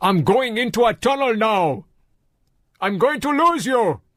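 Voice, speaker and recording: Shouting loudly in a put-on character voice, a man pitches high and keeps a moderate pace. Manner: loud, shouting.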